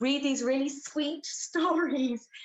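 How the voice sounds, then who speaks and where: A woman speaks with an English accent. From England. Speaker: actress and theatre director. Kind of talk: interview.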